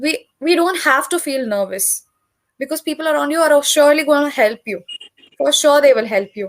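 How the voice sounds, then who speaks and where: In a Telugu accent, a woman talks at a high pitch with ordinary pitch variation. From South India, Tamil. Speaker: English tutor. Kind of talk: casual conversation practice.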